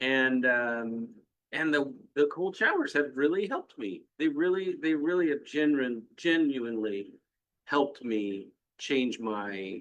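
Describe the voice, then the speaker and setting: A man speaks in a plain, everyday voice at a fairly slow pace. His pitch is fairly high, with lively intonation. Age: 60s. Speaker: business owner, panel member. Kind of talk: casual panel discussion.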